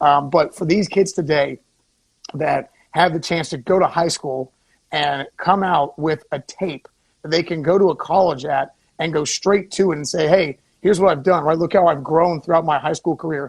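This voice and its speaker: Using an unremarkable speaking voice, a man with an American accent talks at a moderate pace with fairly high pitch and fairly even intonation, recorded dry and close with no echo. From Florida. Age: 30s. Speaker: former local TV news reporter. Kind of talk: casual radio talk show chat.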